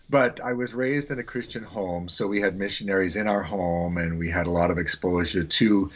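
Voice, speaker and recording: At a fairly quick pace, a man talks with a very deep, low pitch and ordinary pitch variation. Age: 60s. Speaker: missions teacher and author. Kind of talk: podcast interview.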